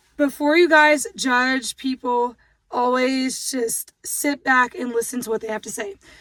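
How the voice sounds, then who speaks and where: This fairly slow speaker has ordinary pitch variation and big swings in loudness, recorded very cleanly with a silent background and a dry, close sound with no echo. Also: woman, high pitch for a woman. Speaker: vlogger. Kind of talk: casual chat. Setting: in a car.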